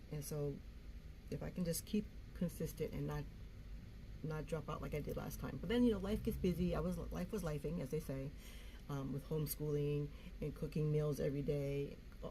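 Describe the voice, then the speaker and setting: Through noticeable background noise and audible room echo, a woman talks at a fairly quick pace. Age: 60s. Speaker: YouTuber. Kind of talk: casual vlog talk. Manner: free-flowing, halting with fillers.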